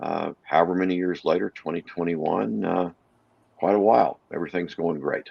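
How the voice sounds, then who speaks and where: A man with an American accent speaks at a fairly quick pace in a very deep, low pitch with vocal fry. His pitch varies in an ordinary way. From Texas (Texarkana). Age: 60s. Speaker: animal rescue co-founder and salesman. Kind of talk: interview chat.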